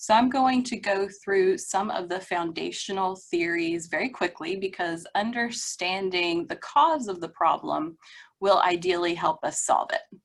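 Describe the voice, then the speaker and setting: A woman with an ordinary speaking voice, medium pitch and ordinary pitch variation, at a fairly slow pace with hardly any pauses, on a very clean recording with a silent background. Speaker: librarian presenting at a webinar. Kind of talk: presentation.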